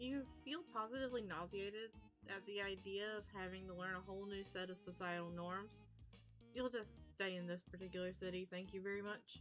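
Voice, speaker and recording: Music plays in the background as a woman talks at a fairly quick pace. Her medium pitch stays in fairly even intonation. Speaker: VTuber streamer. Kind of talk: reading a visual novel aloud on stream.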